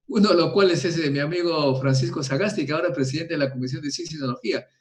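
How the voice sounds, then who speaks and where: Speaking very fast, this man's voice sits fairly high. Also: ordinary pitch variation. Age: 70s. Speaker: nuclear physicist. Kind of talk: interview. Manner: animated.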